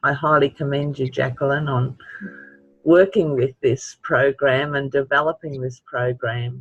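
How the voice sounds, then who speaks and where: This man's voice sits at a fairly high pitch and is somewhat breathy. He keeps a fairly slow pace and fairly even intonation, recorded with a dry, close sound and no echo. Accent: Australian. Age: 70s. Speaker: webinar participant with chronic pain. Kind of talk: webinar Q&A.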